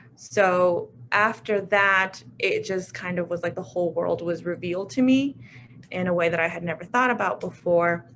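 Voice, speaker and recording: A woman's normal speaking voice at medium pitch, with ordinary pitch variation and a moderate pace. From US, Mexican immigrant family. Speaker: alumna working with refugees. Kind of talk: panel discussion.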